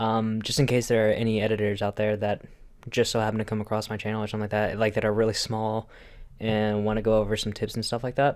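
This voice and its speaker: Speaking at a very fast pace, a man with a fairly low pitch keeps a flat, monotone delivery on a very clean recording with a silent background. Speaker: video editor. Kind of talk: casual talk to camera. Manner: hesitant, stuttering.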